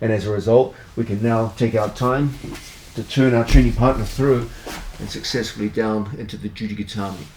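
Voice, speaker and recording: With noticeable background noise behind him, a man at medium pitch talks fairly quickly in a relaxed tone with fairly even intonation. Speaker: martial arts instructor. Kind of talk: instructional tutorial.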